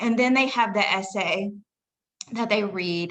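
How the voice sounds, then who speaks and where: Fairly even intonation from a woman in a Southern US accent. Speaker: college English instructor. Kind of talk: faculty presentation. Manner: casual, with fillers.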